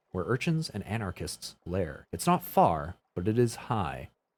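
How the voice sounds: This is a natural reading voice. The background is quiet.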